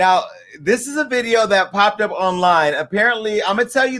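Talking at a fairly quick pace, a man uses a high, bright, sharp tone that is animated, with lively intonation. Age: 40s. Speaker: talk show host. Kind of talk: casual chat. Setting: studio.

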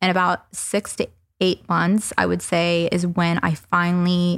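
At a very slow pace, a woman with a fairly low pitch speaks in a dry, close sound with no echo. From US South. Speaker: entrepreneur. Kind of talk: casual chat. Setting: living room.

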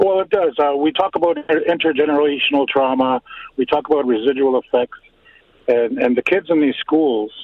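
A man speaks with ordinary pitch variation at a moderate pace while noticeable background noise carries on. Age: 50s. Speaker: caller. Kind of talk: emotional personal testimony. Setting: phone call. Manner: halting, repeats words.

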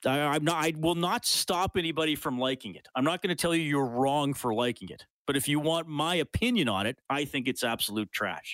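Speaking fairly quickly with a Canadian accent, a man uses a fairly high voice with lively intonation and hardly any pauses, in a very clean, dry, close recording with a silent background and no echo. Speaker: sports radio host. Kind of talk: casual chat. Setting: studio. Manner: animated.

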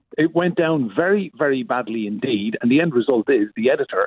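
The man talks at a fairly quick pace with lively intonation. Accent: Irish. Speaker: UK correspondent. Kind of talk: casual news chat. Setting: phone call.

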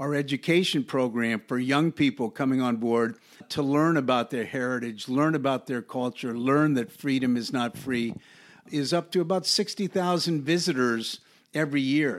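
A man's normal speaking voice with ordinary pitch variation at a moderate pace, on a very clean recording with a silent background. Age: 60s. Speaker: museum director, retired navy admiral. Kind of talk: interview.

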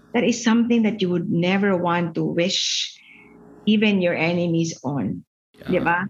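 In a Visayan Filipino accent, a woman with a fairly low pitch talks at a moderate pace with ordinary pitch variation. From Philippines, Cebu (Visayas). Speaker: finance executive and education advocate. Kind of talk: casual interview chat, mixing Tagalog and English. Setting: video call.

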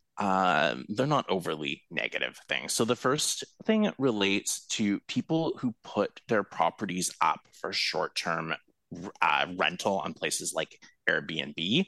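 A man with a fairly low pitch and very wide pitch swings, at a very slow pace, in a dry, close sound with no echo. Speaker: co-host and headlines presenter. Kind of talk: casual chat.

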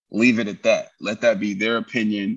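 A man speaks with a New York accent against a quiet background. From New York, Brooklyn. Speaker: military veteran and entrepreneur. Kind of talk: casual interview.

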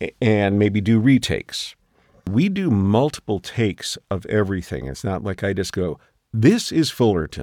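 A man's ordinary speaking voice, fairly low in pitch with lively intonation, at a moderate pace, in a very clean recording with a silent background and a dry, close sound with no echo. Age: 60s. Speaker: voice actor. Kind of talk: casual chat. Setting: studio.

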